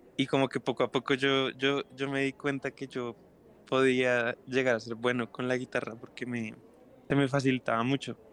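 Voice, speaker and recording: At a moderate pace, a man speaks at a medium pitch in a monotone with flat intonation, the sound dry and close with no echo. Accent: Bogotá. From Bogotá, Colombia. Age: 20s. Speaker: singer-songwriter. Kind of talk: casual interview chat.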